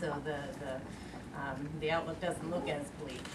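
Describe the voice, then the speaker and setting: A woman speaks with ordinary pitch variation. Loud noise fills the background. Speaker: panel discussant. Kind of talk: panel discussion answer. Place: meeting room.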